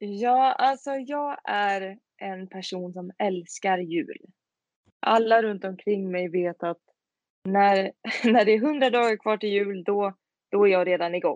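Heard in a dry, close sound with no echo, a woman speaks at a very slow pace and medium pitch with ordinary pitch variation. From Sweden, Tidaholm in Skaraborg. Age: 20s. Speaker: singer-songwriter. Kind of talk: interview.

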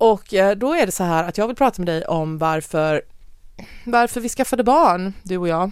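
A woman with an ordinary speaking voice, medium pitch, lively intonation, and a moderate pace. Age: 40s. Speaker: podcast host. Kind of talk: casual chat.

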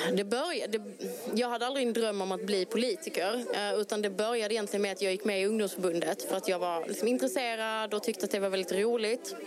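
A woman at medium pitch speaks at a very fast pace with very even loudness. Noticeable background noise is present. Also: ordinary pitch variation. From Malmö, southern Sweden. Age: 30s. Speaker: local politician. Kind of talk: interview. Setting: outdoor election booth on a town square.

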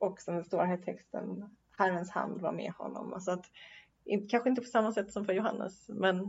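Vocal fry in a woman's medium-pitched voice, moderately paced and fairly even in intonation. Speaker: podcast host and university chaplain. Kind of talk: casual theological conversation. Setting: Uppsala, recorded in person. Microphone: poor sound quality.

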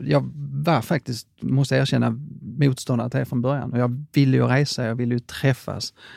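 At a moderate pace, a man speaks in a medium pitch with monotone, flat intonation and a dry, close sound with no echo. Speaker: franchise chain CEO. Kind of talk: interview.

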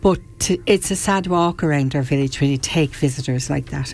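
A woman in an Irish accent speaks with a very deep, low pitch, a dark, mellow tone and ordinary pitch variation. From Ireland, County Wexford (Rosslare Harbour). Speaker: local protest committee member. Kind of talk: radio interview. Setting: studio.

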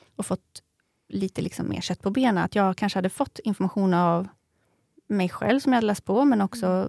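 With a normal speaking voice, a woman talks at a fairly quick pace at medium pitch with ordinary pitch variation, in a very clean recording with a silent background and a dry, close sound with no echo. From Sweden, Eskilstuna. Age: 30s. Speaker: new mother, podcast guest. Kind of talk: interview, personal story.

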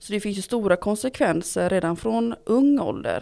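A woman with a Gothenburg accent speaks at a medium pitch and a moderate pace. The recording is very clean, with a silent background. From Gothenburg, Sweden. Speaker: local politician, education committee. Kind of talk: interview.

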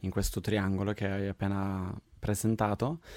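In a Swedish accent, a man speaks at a fairly low pitch. The recording is very clean with a silent background and a dry, close sound with no echo. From Sweden. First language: Swedish (speaking Italian). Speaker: podcast host. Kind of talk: casual chat. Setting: home recording studio.

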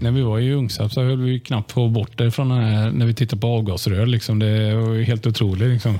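Talking at a fairly quick pace with hardly any pauses, a man keeps a flat monotone at medium pitch, his tone dark and mellow and his loudness very even. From Sweden, Limared (Västergötland). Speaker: opposition politician. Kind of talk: casual chat. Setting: office rigged as studio. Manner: halting.

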